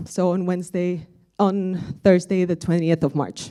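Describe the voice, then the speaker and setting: A woman speaks at a moderate pace and a medium pitch. Her voice has a dark, mellow tone. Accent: Spanish. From Spain, Madrid. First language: Spanish. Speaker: conference speaker, aviation software sustainability lead. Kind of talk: conference presentation.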